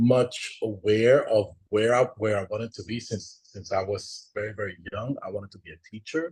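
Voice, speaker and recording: A man speaks with a Spanish accent. His voice is somewhat breathy. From Dominican Republic. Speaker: panelist. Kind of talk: panel discussion.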